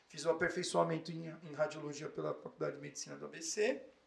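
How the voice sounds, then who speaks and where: A man talks at a moderate pace. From São Paulo city, North Zone. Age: 30s. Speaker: physician. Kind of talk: casual interview.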